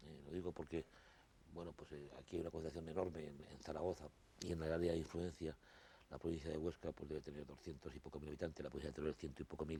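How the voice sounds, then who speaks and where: A man speaks very fast in a very deep, low voice with vocal fry. His delivery is flat and monotone, with a dark, mellow tone. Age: 60s. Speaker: interview guest. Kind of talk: TV interview. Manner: halting, with many repetitions.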